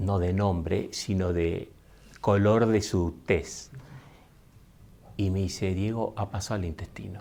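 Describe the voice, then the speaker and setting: A man with an Argentine accent talks at a very slow pace, with long, frequent pauses. His voice is fairly low, with fairly even intonation. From Argentina. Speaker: speaker. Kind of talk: talk to an audience, personal story.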